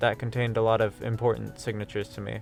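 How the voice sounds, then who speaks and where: Music runs in the background. Over it, a man talks. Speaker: VTuber / streamer. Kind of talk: scripted commentary video narration. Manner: sardonic, casual.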